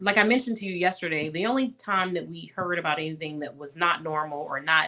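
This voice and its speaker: A woman speaks in a plain, everyday voice at a fairly low pitch. She moves at a fairly quick pace with ordinary pitch variation. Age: 40s. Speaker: guest sharing abuse survivor story. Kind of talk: interview chat.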